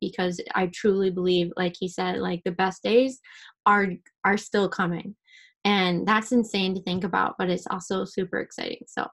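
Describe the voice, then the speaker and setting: This is a raspy, put-on character voice. It moves at a moderate pace with fairly even intonation. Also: woman, medium pitch for a woman. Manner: heartfelt.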